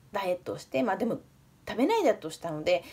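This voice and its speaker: A woman speaks with very wide pitch swings. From Fukushima, Iwaki. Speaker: nutritionist and diet coach. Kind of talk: casual self-introduction to camera. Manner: chatty, friendly. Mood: warm, earnest, smiling. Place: home room. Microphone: phone near.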